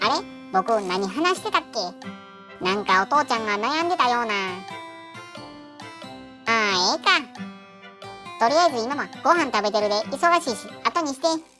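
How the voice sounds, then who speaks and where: A put-on character voice with fairly high pitch speaks at a moderate pace, with long, frequent pauses. Clear music plays in the background. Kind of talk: comedic voice-over dubbing of pet fish.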